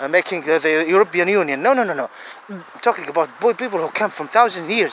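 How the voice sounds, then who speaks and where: A man with a high pitch talks at a very fast pace and ordinary pitch variation amid noticeable background noise. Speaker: religious-political video commentator. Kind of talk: impassioned monologue. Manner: halting; animated.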